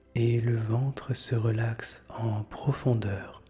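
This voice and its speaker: Music plays in the background as a man speaks. His medium-pitched voice has monotone, flat intonation. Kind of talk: guided meditation. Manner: whispered, slow, soothing.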